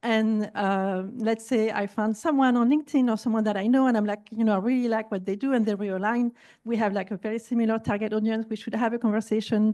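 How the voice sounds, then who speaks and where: A woman with a non-native accent talks very fast in a fairly high pitch, with hardly any pauses and fairly even intonation. Her tone is dark and mellow, and the background is quiet. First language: not English. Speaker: entrepreneur and podcaster. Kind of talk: panel discussion.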